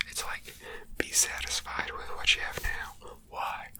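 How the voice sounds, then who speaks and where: A whispering voice moves at a fairly slow pace over noticeable background noise. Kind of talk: ASMR crochet video, casual talk to camera. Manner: reflective, conversational, musing.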